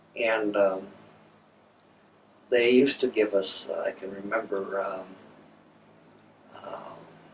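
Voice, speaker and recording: At a very slow pace with long, frequent pauses, a man with an American accent speaks in a fairly low voice with fairly even intonation and big swings in loudness over noticeable background noise. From central Minnesota, US. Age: 80s+. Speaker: war veteran. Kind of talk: oral history interview. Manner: hesitant, many fillers. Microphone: poor recording quality.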